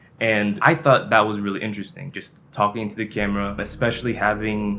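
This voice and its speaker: Music plays in the background as a man speaks in a fairly low pitch. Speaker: vlogger. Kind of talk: casual talk to camera. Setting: hotel room. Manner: fast.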